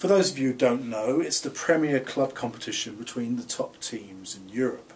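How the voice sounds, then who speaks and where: A man speaks in a London accent at medium pitch and a moderate pace. His intonation is lively, with noticeable background noise. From England, London. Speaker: professor. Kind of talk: course introduction lecture. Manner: formal.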